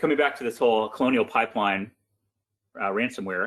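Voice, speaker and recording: At a fairly quick pace, a man talks in a medium-pitched voice. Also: quiet background. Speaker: cybersecurity expert, company technology chief. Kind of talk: webinar presentation. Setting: live online webinar. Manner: fast.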